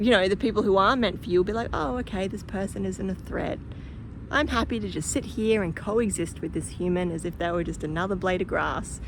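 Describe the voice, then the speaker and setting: With a strong Australian accent and vocal fry, a woman talks at a fairly quick pace in a medium pitch with ordinary pitch variation, and audible room echo surrounds her voice. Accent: broad Australian. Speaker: spiritual teacher and channeler. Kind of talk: casual vlog talk to camera. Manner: animated.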